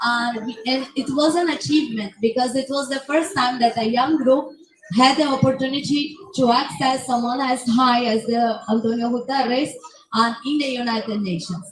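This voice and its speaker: A woman speaks loudly at a moderate pace, with ordinary pitch variation. Noticeable background noise and audible room echo fill the recording. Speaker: youth climate activist. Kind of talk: panel discussion. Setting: conference pavilion, livestream.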